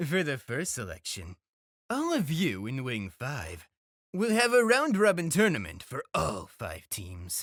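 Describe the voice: Recorded very cleanly against a silent background, with a dry, close sound and no echo, a put-on character voice moves at a fairly slow pace with very wide pitch swings and a fairly bright tone. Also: man, medium pitch for a man.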